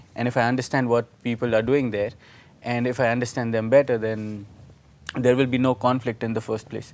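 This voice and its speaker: Speaking fairly quickly with an Indian accent, the man has a medium-pitched voice. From India, Nashik (Maharashtra). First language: Marathi. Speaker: student organization leader. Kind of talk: interview. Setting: live video stream.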